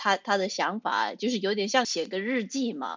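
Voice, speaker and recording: This woman speaks at a fairly slow pace. Her pitch sits in the medium range and varies in an ordinary way. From United States. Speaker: writer. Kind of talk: casual chat. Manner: halting.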